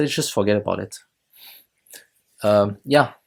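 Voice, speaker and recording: A man with a French accent talks with ordinary pitch variation on a very clean recording with a silent background. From France. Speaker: YouTuber reviewing films and shows. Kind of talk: casual video review monologue. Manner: hesitant, many fillers.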